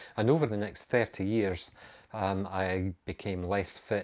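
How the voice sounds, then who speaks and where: A man with a Scottish accent, fairly low in pitch, fairly slow and fairly even in intonation, on a very clean recording with a silent background. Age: 50s. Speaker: amateur runner and vlogger. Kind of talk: casual video monologue. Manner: hesitant, many ums.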